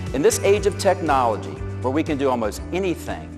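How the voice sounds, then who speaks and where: Music in the background behind a man's moderately paced speech. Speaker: professional keynote speaker. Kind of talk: keynote speech highlights reel on values and relationships.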